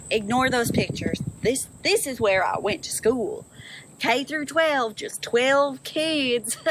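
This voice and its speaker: In a dry sound with no echo and light background noise, a woman speaks at a high pitch and a very slow pace. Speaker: vlogger. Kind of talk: casual comedic vlog chat. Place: open country. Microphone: phone near.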